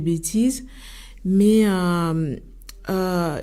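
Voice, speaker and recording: The woman's tone is dark and mellow. She keeps her intonation fairly even. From Italy. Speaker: association leader. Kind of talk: radio debate interview. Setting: studio. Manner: halting, many hesitations.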